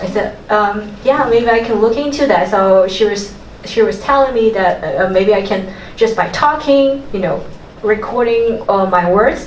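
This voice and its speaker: With a Mandarin accent, a woman speaks at a moderate pace and a fairly high pitch with ordinary pitch variation, amid audible room echo and noticeable background noise. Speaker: audience member. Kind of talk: sharing in a workshop. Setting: talk with live audience. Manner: halting, many fillers.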